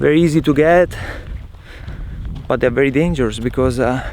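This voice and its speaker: With an Italian accent, a man speaks at a moderate pace and a fairly high pitch with fairly even intonation, and there is noticeable background noise. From Italy. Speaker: travel vlogger. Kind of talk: casual vlog monologue. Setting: outdoors.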